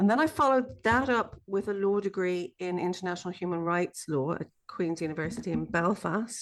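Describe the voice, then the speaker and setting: Over a quiet background, a woman with an Irish accent talks at a fairly quick pace and medium pitch, with lively intonation and hardly any pauses. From Ireland. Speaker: sociologist and abuse survivor support coach. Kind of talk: podcast interview.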